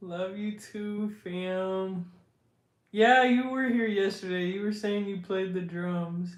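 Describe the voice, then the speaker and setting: The pace is very slow, with fairly even intonation. The American accent carries audible room echo. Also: man, high pitch for a man. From Washington State, US. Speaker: livestreamer, content creator. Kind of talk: casual livestream chat.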